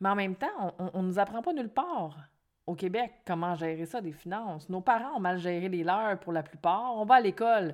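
On a very clean recording with a silent background, a woman speaks at a moderate pace and medium pitch with ordinary pitch variation. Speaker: podcast host, financial coach. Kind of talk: solo podcast monologue. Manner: animated.

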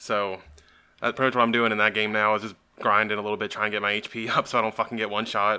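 A man's very fast, fairly low-pitched delivery, monotone and flat, with a bright, sharp tone on a very clean recording with a silent background. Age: 20s. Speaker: wrestling podcast host. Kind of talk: casual chat.

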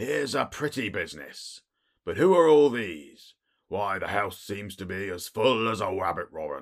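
In a husky, put-on character voice, a man is heard on a very clean recording with a silent background. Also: fairly low pitch for a man, moderate pace. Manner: loud, exclaiming.

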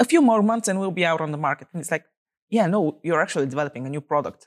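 With a Bulgarian accent, a woman speaks in lively intonation, her voice captured in a dry, close sound with no echo. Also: very clean recording, silent background. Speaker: startup founder. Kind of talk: interview.

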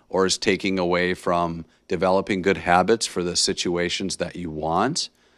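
On a very clean recording with a silent background, a man with an American accent speaks with a very deep, low pitch. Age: 30s. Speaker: podcast host, teacher. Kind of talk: motivational monologue. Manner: casual, many filler words.

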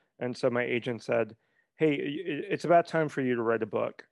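A man's plain, everyday voice, medium in pitch, at a moderate pace, with a dry, close sound and no echo. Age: 30s. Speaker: writing coach and memoirist. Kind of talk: casual interview conversation.

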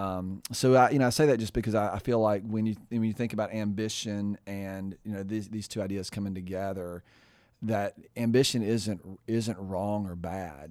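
This man has an ordinary speaking voice with a fairly low pitch. He talks at a moderate pace with fairly even intonation. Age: 50s. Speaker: podcast co-host. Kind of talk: casual chat.

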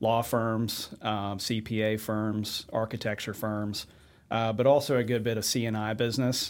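With an American accent, a man speaks at medium pitch with monotone, flat intonation. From Richmond, Virginia. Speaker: bank executive. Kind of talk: interview. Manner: hesitant, many fillers.

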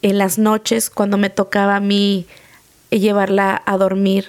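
A woman at medium pitch, monotone and flat, at a fairly slow pace. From Mexico. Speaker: podcast host, former nanny. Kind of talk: personal storytelling.

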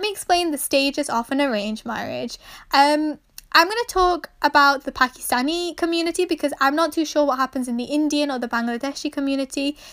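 At a high pitch and a fairly quick pace, a woman speaks in an animated tone with ordinary pitch variation, recorded very cleanly against a silent background. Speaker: podcaster. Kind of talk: casual solo podcast monologue. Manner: chatty, animated.

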